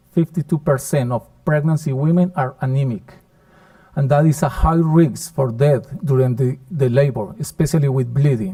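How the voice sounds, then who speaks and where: This man has a fairly high pitch and a dark, mellow tone that is somewhat breathy. He talks at a moderate pace with ordinary pitch variation. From Colombia. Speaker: professor. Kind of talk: conference lecture.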